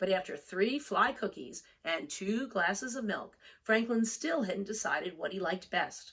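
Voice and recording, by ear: At a fairly slow pace, a woman speaks at a medium pitch, her fairly bright tone carrying a slightly husky edge. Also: lively intonation.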